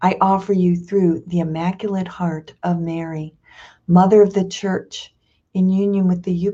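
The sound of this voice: Quiet background, fairly even intonation, and an unforced reading voice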